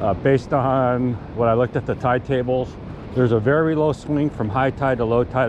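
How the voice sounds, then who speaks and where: A man talks at a moderate pace with fairly even intonation. The sound is dry with no echo, but there is noticeable background noise. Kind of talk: casual vlog chat. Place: beach. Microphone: phone near.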